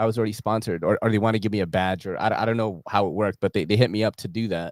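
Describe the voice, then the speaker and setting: Talking at a very fast pace, a man comes through with a dry, close sound and no echo. The recording is very clean and the background silent. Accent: American. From New York City. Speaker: EDC content creator. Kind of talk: casual chat. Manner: animated.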